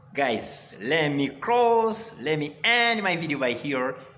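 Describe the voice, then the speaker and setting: The voice has lively intonation and a bright, sharp tone. Audible room echo can be heard. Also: man. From Rwanda. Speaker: English teacher. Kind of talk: online lesson. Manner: animated.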